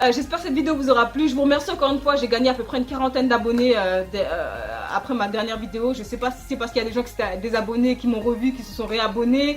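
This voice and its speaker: Over noticeable background noise, a woman speaks at a very fast pace in a high pitch with ordinary pitch variation. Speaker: youtuber. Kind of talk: casual vlog commentary. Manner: hesitant, many fillers.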